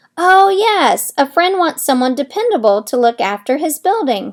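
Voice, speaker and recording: A woman in a put-on character voice goes high in pitch with very wide swings, keeping a moderate pace. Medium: read story. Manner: haughty.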